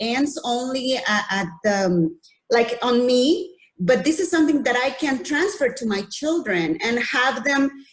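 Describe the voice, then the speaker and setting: A woman's voice with a non-native accent and lively intonation. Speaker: audience member. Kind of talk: Q&A comment in webinar. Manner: halting, many repetitions.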